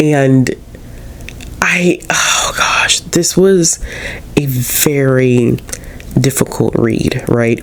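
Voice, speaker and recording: A man's medium pitch carries ordinary pitch variation through noticeable background noise. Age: 30s. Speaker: book vlogger. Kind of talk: casual review monologue. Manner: hesitant, many fillers.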